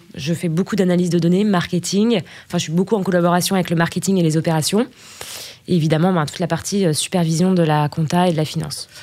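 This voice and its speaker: A woman is speaking here. Her pitch is fairly low and her pace is very fast. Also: fairly even intonation. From Burgundy, France. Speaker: finance director. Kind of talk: interview. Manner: halting, many fillers.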